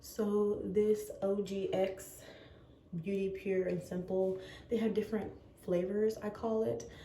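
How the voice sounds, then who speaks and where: A woman talks very slowly, with audible echo from the room. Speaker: lifestyle vlogger. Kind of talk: casual vlog talk. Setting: bathroom at home. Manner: quiet, hushed.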